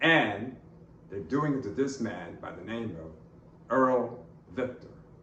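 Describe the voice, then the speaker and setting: Audible room echo surrounds a man speaking at medium pitch and a fairly slow pace. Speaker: political commentator, campaign spokesman. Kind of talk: political commentary. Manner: loud, emphatic.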